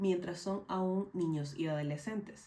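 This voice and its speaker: A woman talks at a fairly slow pace, her pitch fairly low and somewhat breathy. Her pitch varies in an ordinary way, and the room has an audible echo. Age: 20s. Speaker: mental health educator. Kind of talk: scripted narration. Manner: formal.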